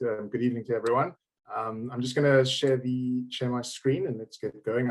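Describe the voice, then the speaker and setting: Talking at a very fast pace, a man with a South African accent uses a medium pitch and fairly even intonation. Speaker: managing director of a tax reclaim firm. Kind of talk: business presentation.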